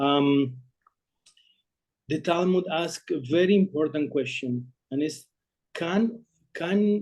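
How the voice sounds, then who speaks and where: This man has a non-native accent and a dark, mellow tone at a fairly high pitch. He speaks at a very slow pace. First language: not English. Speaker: rabbi. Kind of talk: short sermon on a Talmudic text. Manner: halting, many fillers.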